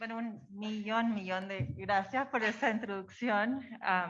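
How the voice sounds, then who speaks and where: A woman speaks with an American accent and ordinary pitch variation. Her loudness swings widely. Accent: non-native Spanish accent, American. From United States, of Chilean descent. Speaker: social psychologist, researcher. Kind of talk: conference lecture.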